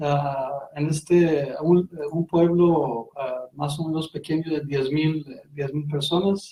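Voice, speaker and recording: Speaking at a very slow pace, a man with a non-native accent has a fairly high, somewhat breathy voice and a monotone, flat delivery. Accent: foreign accent in Spanish. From Iran, Golestan province. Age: 30s. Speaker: interview guest. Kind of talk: radio interview. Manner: halting, many fillers.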